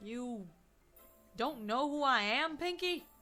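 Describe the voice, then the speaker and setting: A female-sounding put-on character voice, high in pitch, at a fairly slow pace. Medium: read story. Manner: down-to-earth, dry.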